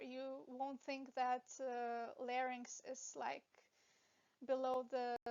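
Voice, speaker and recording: A woman with a non-native accent speaks at a very slow pace in a high pitch. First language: not English. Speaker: veterinary anatomy educator. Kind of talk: lecture. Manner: hesitant, with fillers.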